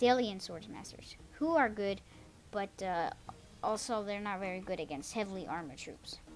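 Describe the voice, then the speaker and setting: A woman's voice has a medium pitch and ordinary pitch variation. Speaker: gaming video commentator. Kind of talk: game replay commentary. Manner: fast; hesitant, many fillers.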